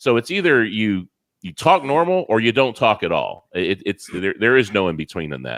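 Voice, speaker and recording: A man's animated, medium-pitched voice with very wide pitch swings and vocal fry, at a moderate pace, dry and close with no echo on a very clean recording with a silent background. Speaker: paranormal investigator. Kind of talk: interview Q&A.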